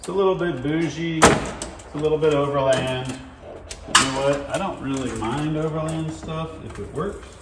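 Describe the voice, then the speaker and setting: Loud background noise fills the recording. A man talks over it at a moderate pace. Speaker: vehicle DIY host. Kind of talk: tutorial. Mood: relaxed, casual. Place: garage.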